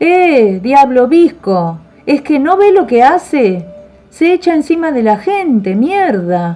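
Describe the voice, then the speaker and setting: Shaky and at a fairly slow pace, a female-sounding put-on character voice is heard over faint music in the background. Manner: insulting, angry.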